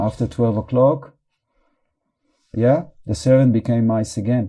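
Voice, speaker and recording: With a non-native accent, a man speaks at a moderate pace in a medium pitch, using fairly even intonation and a dark, mellow tone. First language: not English. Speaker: meditation teacher. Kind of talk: guided meditation.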